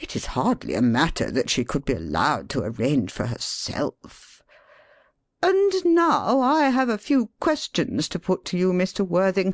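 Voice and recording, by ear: Over a quiet background, a put-on character voice at middle pitch moves at a moderate pace.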